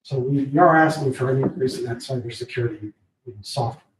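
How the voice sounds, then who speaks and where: At a moderate pace, a man speaks in a somewhat breathy voice at medium pitch with ordinary pitch variation. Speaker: IT services provider. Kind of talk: public meeting presentation. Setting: county board meeting room. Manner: quiet.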